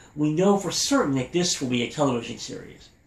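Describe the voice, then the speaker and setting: A man has a normal speaking voice with a fairly high pitch. His intonation is lively. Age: 40s. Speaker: anime podcast host. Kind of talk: podcast news update.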